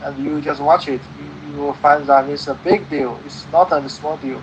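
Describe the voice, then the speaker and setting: Noticeable background noise runs under the recording. A man speaks with a Chinese accent. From China. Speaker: English conversation partner. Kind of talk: casual conversation. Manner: halting, many fillers.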